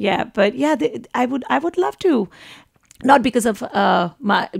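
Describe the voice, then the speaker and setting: A woman at a fairly high pitch, with very wide pitch swings and a fairly slow pace. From India. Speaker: actor and singer. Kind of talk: interview. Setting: radio studio. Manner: halting, many repeated words.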